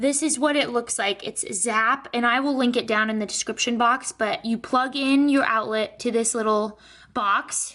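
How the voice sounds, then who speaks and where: A woman talks at a high pitch and a moderate pace. Her tone is bright and sharp. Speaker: lifestyle vlogger. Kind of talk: casual vlog narration. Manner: animated.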